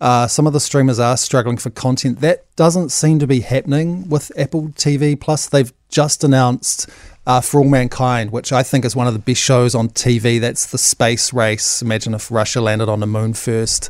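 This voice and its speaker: A man with a plain, everyday voice talks at a moderate pace, his medium pitch showing ordinary pitch variation. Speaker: entertainment commentator. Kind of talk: casual radio chat. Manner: casual, fillers like kinda.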